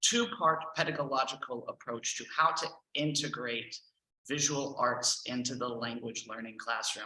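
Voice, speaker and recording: With a Texan accent, a man with a fairly high pitch speaks at a fairly slow pace. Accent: Texan American English. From Texas, Houston. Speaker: language teacher and trainer. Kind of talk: presentation.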